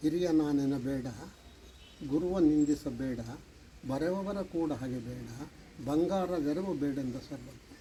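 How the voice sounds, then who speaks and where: A man speaks in a fairly high pitch with a dark, mellow tone. His pitch variation is ordinary. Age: 80s+. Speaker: retired high school teacher. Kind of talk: interview answer, personal recollection.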